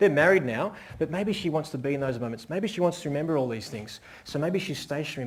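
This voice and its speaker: A man with an Australian accent talks at a very fast pace. His tone is animated. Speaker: wedding photographer giving a seminar. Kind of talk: live seminar talk. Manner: animated, varying pace and volume.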